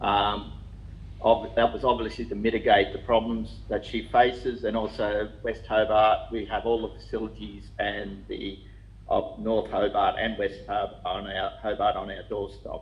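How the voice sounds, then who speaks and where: Fairly slow male speech with an Australian accent and audible room echo. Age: 60s. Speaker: applicant addressing a council planning committee. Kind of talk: public submission at a council meeting. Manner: halting.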